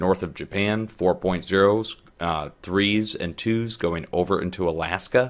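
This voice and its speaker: Quiet and very deep in pitch, a man speaks with fairly even intonation. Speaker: earthquake forecast video host. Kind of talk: casual forecast commentary. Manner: quiet, keeping voice down.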